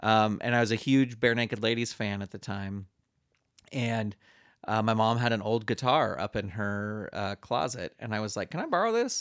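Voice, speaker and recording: A man with an American accent speaks at a moderate pace in a normal speaking voice, medium in pitch, with fairly even intonation on a very clean recording with a silent background. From US West Coast, San Francisco Bay Area. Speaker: musical comedian and puppeteer. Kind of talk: casual chat.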